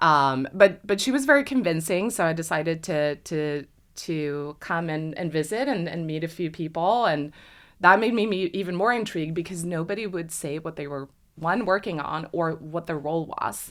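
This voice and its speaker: A woman with a Swedish accent speaks at a moderate pace with a fairly low pitch and lively intonation. The recording is very clean, with a silent background. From Sweden. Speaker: industrial designer. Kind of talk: podcast interview.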